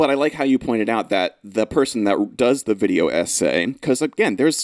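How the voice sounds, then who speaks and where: Over a silent background in a very clean recording, a man talks at a fairly quick pace. His medium-pitched voice carries vocal fry. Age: 30s. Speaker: English teacher and podcast host. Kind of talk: casual chat. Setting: studio.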